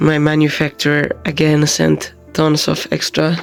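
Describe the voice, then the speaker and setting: A quiet voice with a Finnish accent plays against music in the background. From Finland. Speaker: vlogger and convention artist. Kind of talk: casual vlog.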